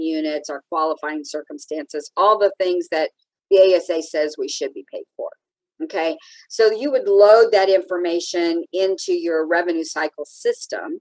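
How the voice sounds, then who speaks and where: In a dry, close sound with no echo, a woman talks at a moderate pace with big swings in loudness. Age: 60s. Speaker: anesthesia billing and coding expert. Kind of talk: interview.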